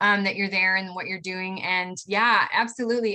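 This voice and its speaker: A woman speaks with a Midwestern American accent. Her tone is bright and sharp. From Ohio, Cleveland. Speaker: travel educator, speaker. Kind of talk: Q&A answer in webinar.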